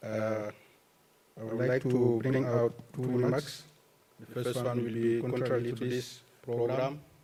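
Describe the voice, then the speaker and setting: A man speaks at a fairly slow pace, leaving long, frequent pauses, his intonation monotone and flat. Noticeable background noise and audible room echo fill the recording. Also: medium pitch for a man. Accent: Cameroonian. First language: French. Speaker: agricultural researcher. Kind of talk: conference presentation. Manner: halting.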